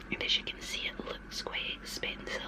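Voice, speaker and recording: The speaker is a woman, and she is whispering. Background noise is noticeable. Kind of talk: ASMR show and tell of lipsticks. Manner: whispered, soft-spoken.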